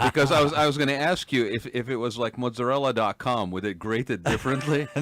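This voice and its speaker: A man rattles along at a very fast pace, pitch varying in an ordinary way, amid noticeable background noise. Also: medium pitch for a man. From Kuwait. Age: 60s. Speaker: radio host. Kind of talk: casual chat. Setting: studio.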